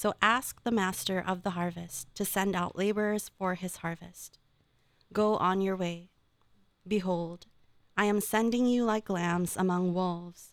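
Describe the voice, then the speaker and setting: A plain, everyday voice with an American accent speaks at a fairly slow pace with fairly even intonation. The recording is very clean, with a silent background. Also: woman, medium pitch for a woman. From Philippines, then California from age 11. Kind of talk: reading aloud.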